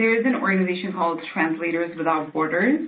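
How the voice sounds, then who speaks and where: Against audible room echo, the pitch shifts in an ordinary way. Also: woman. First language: not English. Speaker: social impact strategist, webinar presenter. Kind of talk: webinar Q&A answer.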